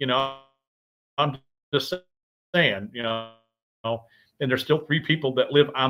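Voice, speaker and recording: Loudly, a man speaks with a Midwestern US accent. His pitch is medium. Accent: US Midwest. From Michigan. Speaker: paranormal show host. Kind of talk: casual livestream chat. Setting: live video stream with soundboard.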